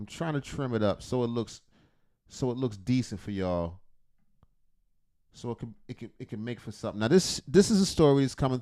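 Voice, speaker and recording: With a dark, mellow tone and lively intonation, a man speaks at a medium pitch and a fairly quick pace, taking long, frequent pauses while his loudness swings widely. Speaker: reaction streamer. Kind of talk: casual late-night reaction commentary.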